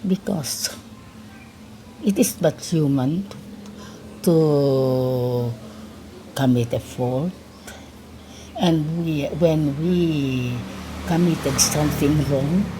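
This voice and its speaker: A woman with a very deep, low voice speaks at a very slow pace with long, frequent pauses. Noticeable background noise runs underneath. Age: 80s+. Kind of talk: interview answer.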